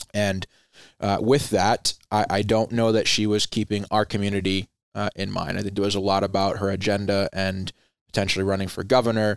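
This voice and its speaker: A man speaks at a fairly quick pace and a fairly low pitch, in a monotone, flat intonation. The sound is dry and close with no echo, a very clean recording with a silent background. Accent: American. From Rhode Island, US Northeast. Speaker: veteran nonprofit founder, former Air Force member. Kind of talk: interview, conversational.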